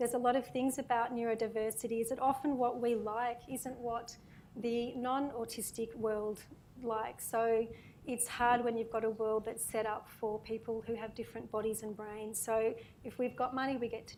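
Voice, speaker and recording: A soft-spoken woman's fairly high voice in an Australian accent, monotone and flat in intonation, at a moderate pace. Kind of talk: panel Q&A reading prepared remarks.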